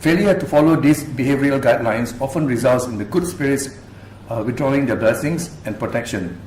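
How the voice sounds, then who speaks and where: A man talks at a fairly quick pace with a fairly high voice. There is audible room echo and noticeable background noise. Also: ordinary pitch variation. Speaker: activist and researcher. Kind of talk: public talk presentation. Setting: university lecture room with audience. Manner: fast.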